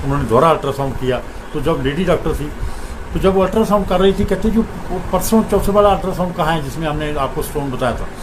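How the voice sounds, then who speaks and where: A man's high voice with ordinary pitch variation, amid audible room echo and noticeable background noise. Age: 60s. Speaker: devotee sharing experiences. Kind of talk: testimony.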